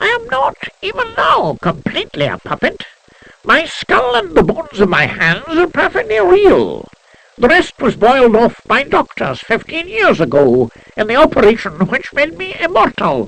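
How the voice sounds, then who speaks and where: A man puts on a character voice that is squeaky and extremely high in pitch. He speaks at a moderate pace. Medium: read story. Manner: quick, sprightly.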